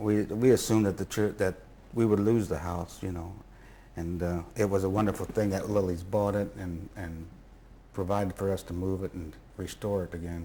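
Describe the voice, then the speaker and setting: Fairly even in intonation, the voice has a dark, mellow tone and an American accent and moves at a moderate pace. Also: man, very deep, low pitch for a man. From Indianapolis. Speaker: interviewee recalling family history. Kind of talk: interview. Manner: halting.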